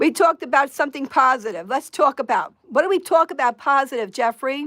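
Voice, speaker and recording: A woman with an American accent speaks high and at a moderate pace, her tone bright, sharp and animated, her intonation lively, in a very clean recording with a silent background and a dry, close sound with no echo. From New York. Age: 60s. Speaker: live streamer. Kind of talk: livestream rant.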